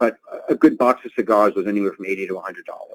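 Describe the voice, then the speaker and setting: A man with a Boston accent talks at a fairly quick pace in a dry, close sound with no echo. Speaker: travel industry executive. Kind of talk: webinar interview answer.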